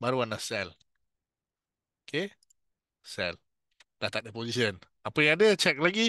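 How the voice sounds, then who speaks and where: A man with a Malaysian accent, a bright, sharp tone, vocal fry and very wide pitch swings. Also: dry, close sound with no echo. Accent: Malaysian Malay. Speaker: futures trading instructor. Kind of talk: tutorial. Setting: webinar. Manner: slow.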